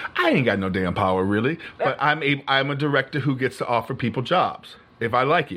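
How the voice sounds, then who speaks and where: Fairly quick with hardly any pauses, a man speaks in an unremarkable speaking voice at a medium pitch, his intonation lively. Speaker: podcast guest. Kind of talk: casual chat.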